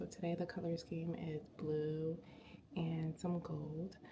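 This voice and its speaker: Whispering, a woman speaks with an American accent. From New York City, Queens. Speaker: educator and vlogger. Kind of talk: casual vlog narration. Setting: at home and in car, early morning.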